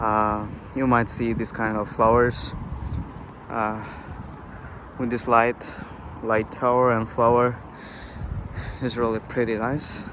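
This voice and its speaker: A man speaks very slowly at a medium pitch, leaving long, frequent pauses. His intonation is monotone and flat, and noticeable background noise runs beneath him. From Bangladesh. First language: Bangla. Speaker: international student vlogger. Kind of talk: vlog narration. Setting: outdoors, riding a bike at night.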